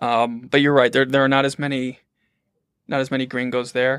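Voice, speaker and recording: Medium-pitched male voice in an American accent, fairly even in intonation, on a very clean recording with a silent background. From US Midwest, southeast Michigan. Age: 20s. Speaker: journalist. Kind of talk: casual chat.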